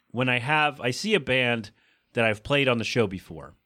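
A man with a medium pitch talks at a fairly quick pace, his tone bright and sharp and his intonation lively. The recording is very clean, with a silent background. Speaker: podcast host. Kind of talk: casual chat. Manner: fast talker; animated.

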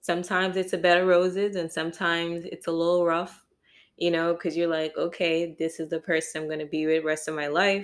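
On a very clean recording with a silent background, a woman talks at a fairly quick pace. Her fairly low voice stays monotone and flat. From Jamaica. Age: 20s. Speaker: podcast co-host, married partner. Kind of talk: casual chat.

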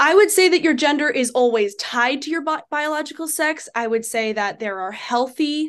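A woman in a plain, everyday voice, lively in intonation and moderate in pace, over a quiet background. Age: 20s. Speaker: debater. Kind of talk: debate.

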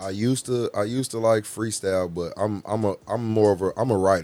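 Male voice with music in the background. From Chicago, West Side. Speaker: rapper. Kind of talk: casual interview. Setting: studio.

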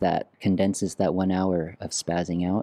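In a dry, close sound with no echo and a silent background on a very clean recording, a man with a Vietnamese accent speaks at a fairly slow pace, his pitch fairly low and his tone dark and mellow. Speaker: musician and former creative director. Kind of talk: casual interview.

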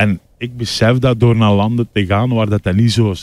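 A man with a plain, everyday voice, fairly low pitch and moderate pace, in a very clean recording with a silent background and a dry, close sound with no echo. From Belgium, Limburg. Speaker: comedian. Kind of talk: casual chat.

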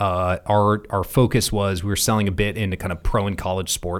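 This man has an unremarkable speaking voice, fairly low in pitch, with fairly even intonation. The recording is very clean with a silent background. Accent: General American. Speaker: tech executive and former Marine officer. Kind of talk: casual chat.

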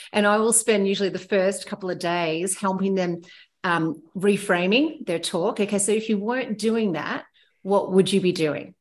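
A woman speaks at medium pitch with an Australian accent. Her pace is moderate and her pitch varies in an ordinary way. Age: 40s. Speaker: heli ski guide. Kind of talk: casual chat.

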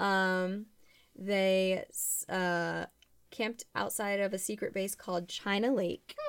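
A woman's medium-pitched voice, very slow and fairly even in intonation, with long, frequent pauses. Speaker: podcast host. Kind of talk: casual chat.

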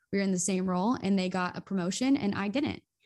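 In a Midwestern American accent, the somewhat breathy voice rushes along at a very fast pace. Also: woman, very clean recording, silent background. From US Midwest (northeast Ohio). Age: 20s. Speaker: content creator and podcaster. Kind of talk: casual interview.

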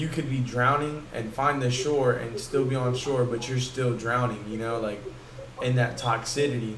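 Over noticeable background noise and some audible room echo, a man talks at a moderate pace with medium pitch and ordinary variation in it. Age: 20s. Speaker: podcast host and military aviation technician. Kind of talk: casual chat. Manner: animated.

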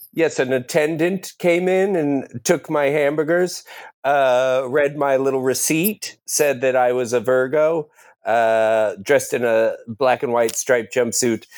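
The man has a normal speaking voice, fairly high in pitch, with ordinary pitch variation and very even loudness. He talks at a fairly slow pace on a very clean recording with a silent background. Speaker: improviser. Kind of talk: improvised comedy scenes.

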